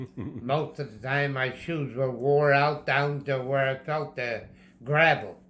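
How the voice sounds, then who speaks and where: Very slow male speech, bright and sharp in tone, with ordinary pitch variation. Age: 80s+; old. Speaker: centenarian interviewee. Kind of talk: interview answer, life reminiscence. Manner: slow, reflective.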